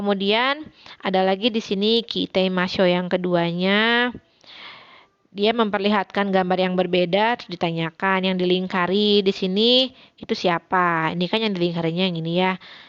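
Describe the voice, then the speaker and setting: In a West Javanese accent, a woman speaks at a medium pitch with fairly even intonation against a quiet background. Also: moderate pace. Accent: Sundanese accent in her Japanese. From West Java (Sundanese). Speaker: Japanese language teacher. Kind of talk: recorded online lesson. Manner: casual, conversational.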